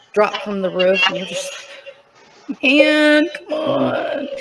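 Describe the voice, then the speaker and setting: Over noticeable background noise, a woman talks with ordinary pitch variation. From eastern Tennessee (Appalachia). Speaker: guest telling life story. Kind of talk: interview, life story. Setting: TV show studio.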